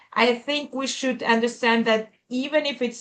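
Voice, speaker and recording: A woman with a Spanish accent, fairly high and fairly even in intonation, against a quiet background. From Colombia. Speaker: conference moderator. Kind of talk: event introduction. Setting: video call. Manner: halting, many fillers.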